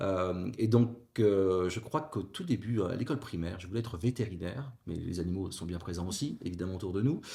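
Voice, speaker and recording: A man speaks in a fairly low pitch with a dark, mellow, somewhat breathy tone. His pitch varies in an ordinary way, and the recording is very clean with a silent background. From northern France (Avesnois, near Fourmies). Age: 40s. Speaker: former teacher, civil service HR executive. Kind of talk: podcast interview. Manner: hesitant, many fillers.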